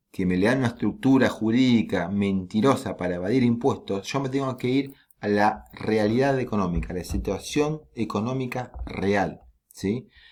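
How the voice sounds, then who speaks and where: Here is a man with a normal speaking voice. His pitch is medium, with ordinary variation. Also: moderate pace. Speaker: law lecturer. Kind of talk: lecture.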